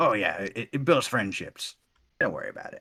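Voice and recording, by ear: A man performs a put-on character voice. He delivers it at a moderate pace.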